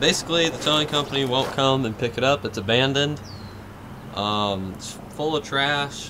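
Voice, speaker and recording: The voice moves at a moderate pace with ordinary pitch variation, over noticeable background noise. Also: man. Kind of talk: casual vlog chat. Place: open country. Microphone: phone near.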